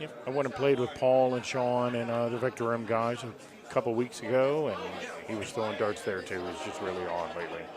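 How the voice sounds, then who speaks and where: A man talks at a fairly quick pace with ordinary pitch variation. Crowd noise sits in the background, and there is audible room echo. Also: medium pitch for a man. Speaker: golf video game commentator. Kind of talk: live commentary. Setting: announcer's booth.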